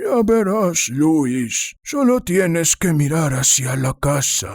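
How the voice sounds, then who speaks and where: A man puts on a character voice, fairly high in pitch, swinging very widely up and down while speaking at a very slow pace. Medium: read story. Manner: firm, controlling.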